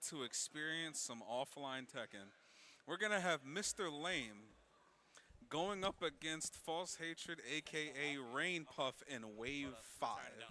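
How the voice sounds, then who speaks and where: A loud man's voice at a fairly high pitch, bright and sharp in tone, with lively intonation and a very slow pace. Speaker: esports tournament commentator. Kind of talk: live commentary. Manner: loud, carrying voice.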